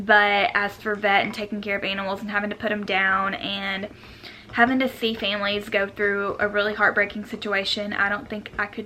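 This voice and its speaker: A woman speaks in a Southern US accent at medium pitch. Her pace is moderate. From US South, Jonesboro, Arkansas. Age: 20s. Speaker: lifestyle vlogger. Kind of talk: casual chat.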